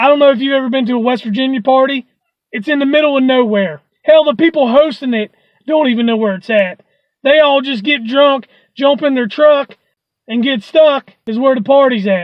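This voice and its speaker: A high-pitched voice moves at a fairly quick pace. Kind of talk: stand-up comedy storytelling. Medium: solo performance. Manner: fast, rambling, wry.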